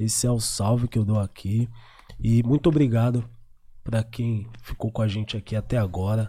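A man's somewhat breathy voice, dark and mellow in tone, at a moderate pace with fairly even intonation, on a very clean recording with a silent background. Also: medium pitch for a man. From Zona Sul, São Paulo. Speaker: podcast host. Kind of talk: casual podcast chat.

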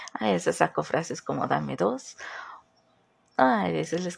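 A woman speaks at a moderate pace in a very deep, low voice, her tone animated and her pitch swinging very widely. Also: long, frequent pauses. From southern Mexico. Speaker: podcast host. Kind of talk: casual solo podcast monologue. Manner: animated, laughs often.

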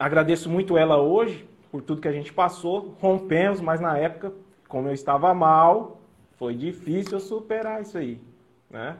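Here a man speaks with a fairly high pitch. His pace is fairly slow, with ordinary pitch variation. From Brazil, São Paulo then Mato Grosso do Sul. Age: 30s. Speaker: nurse and police recruit. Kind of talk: personal testimony. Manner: halting. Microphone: audio feedback, echo.

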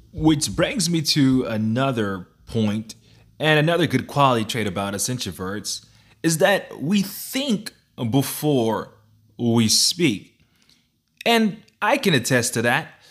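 A man with a fairly high voice speaks very slowly, with long, frequent pauses and very wide pitch swings, on a very clean recording with a silent background. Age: 20s. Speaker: podcast host. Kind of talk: solo podcast monologue.

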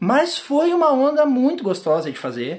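A man is speaking. His pitch swings very widely. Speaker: podcast host, tap dancer and teacher. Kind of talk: casual interview. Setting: own apartment.

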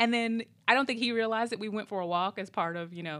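In an American accent, a woman talks at a very fast pace with ordinary pitch variation on a very clean recording with a silent background. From US Midwest. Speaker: podcast host. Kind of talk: casual chat. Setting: studio. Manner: animated.

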